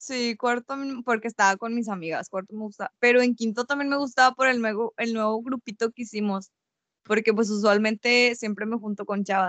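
In a normal speaking voice, the speaker goes at a fairly quick pace with fairly even intonation and a dry, close sound with no echo. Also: woman, fairly high pitch for a woman. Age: 20s. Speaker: university student. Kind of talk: casual chat. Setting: recorded at night.

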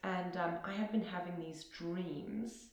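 A woman speaks with a South African accent. There is noticeable background noise. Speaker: podcast guest sharing personal story. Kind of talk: personal testimony in interview. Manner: hesitant, many ums.

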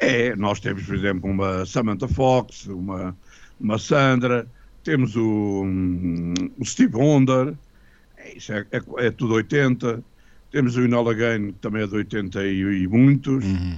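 With ordinary pitch variation, a plain, everyday voice proceeds at a fairly slow pace. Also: man, fairly low pitch for a man. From Portugal, Lisbon. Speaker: retired music teacher and composer. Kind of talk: radio interview.

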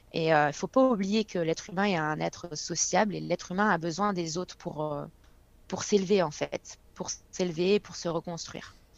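Pitch rises and falls in an ordinary way here. The speaker has a plain, everyday voice. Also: woman, fairly low pitch for a woman, moderate pace. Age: 20s. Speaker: fitness coach. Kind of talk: casual chat.

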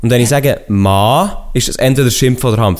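At a medium pitch and moderate pace, a man's voice shows vocal fry and very wide pitch swings. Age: 20s. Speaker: podcaster. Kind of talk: casual chat.

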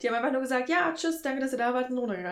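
A woman's fairly high voice moves with lively intonation. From rural Germany. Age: 20s. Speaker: podcast guest, concertgoer. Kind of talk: casual chat.

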